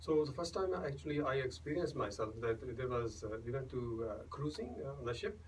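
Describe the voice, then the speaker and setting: A man with a Punjabi accent and a medium pitch talks at a fairly quick pace with very wide pitch swings, against noticeable background noise. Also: hardly any pauses. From India, Punjab. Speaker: singer-songwriter and doctor. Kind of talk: radio interview. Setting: radio studio. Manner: halting, many fillers and restarts.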